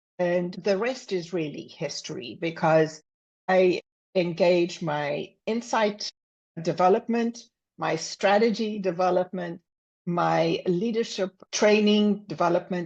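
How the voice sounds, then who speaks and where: A woman with a South African accent speaks at a fairly slow pace in a fairly low pitch, with ordinary pitch variation over a quiet background. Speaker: business consultant and executive coach. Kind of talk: podcast interview. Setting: podcast.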